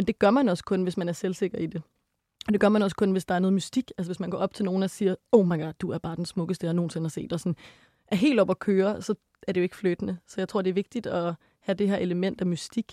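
A woman talks at a very fast pace in a dark, mellow tone with fairly even intonation. The recording is very clean, with a silent background. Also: medium pitch for a woman, dry, close sound with no echo. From Denmark. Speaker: psychology student and sex educator. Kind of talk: casual chat.

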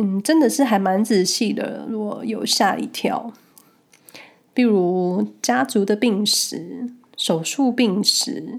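Speaking at a very slow pace, a woman uses lively intonation and a relaxed tone at a medium pitch. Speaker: podcast host. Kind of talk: casual solo monologue, personal storytelling. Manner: slow, relaxed.

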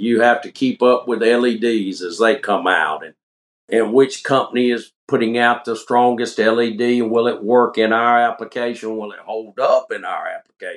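With an upstate South Carolina accent, a man talks at a moderate pace, his intonation fairly even and his loudness swinging widely. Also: medium pitch for a man. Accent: Southern US (upstate South Carolina). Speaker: coon hunting light maker, former chemist. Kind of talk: casual interview chat.

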